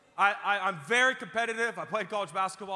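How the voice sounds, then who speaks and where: A man at a very fast pace, animated in tone, over noticeable background noise. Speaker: pastor. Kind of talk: sermon. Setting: church with live audience. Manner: loud.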